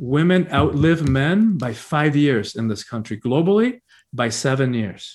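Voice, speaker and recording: A somewhat breathy voice with an American accent, lively intonation, and a fairly slow pace, against a quiet background. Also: man. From Cuba, emigrated to the US at ten. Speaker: spiritual teacher and author. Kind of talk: interview. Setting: video call.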